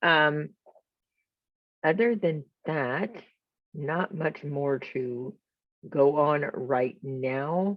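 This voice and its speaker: A woman speaks at a very slow pace, her very deep, low pitch varying in an ordinary way. Long, frequent pauses break up her speech. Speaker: vlogger sharing personal denture experience. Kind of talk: casual vlog monologue. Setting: home, filmed on camera indoors. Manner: some halting, self-interrupted words.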